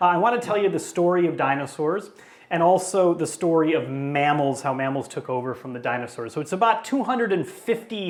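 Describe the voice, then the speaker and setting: A man with an American accent, high pitch and lively intonation, amid audible room echo. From US Midwest, Chicago area. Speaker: paleontologist, professor. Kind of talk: public lecture. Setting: talk in front of a live audience. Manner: casual, conversational; fast-paced.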